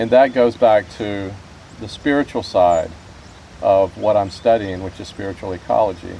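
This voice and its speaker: A man with a fairly low voice talks at a moderate pace over noticeable background noise. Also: ordinary pitch variation. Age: 50s. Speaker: fly fisherman, spiritual ecology student. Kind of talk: casual talk. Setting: outdoors in a boat.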